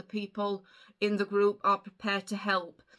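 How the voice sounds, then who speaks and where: A woman with an English accent speaks at a moderate pace and medium pitch in a bright, sharp tone, on a very clean recording with a silent background. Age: 50s. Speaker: vlogger. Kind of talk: casual chat.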